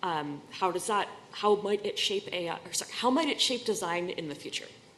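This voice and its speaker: At a fairly quick pace, a woman with an American accent speaks at medium pitch with lively intonation, with noticeable background noise. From US Northeast, Boston. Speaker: user experience researcher. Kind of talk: conference talk.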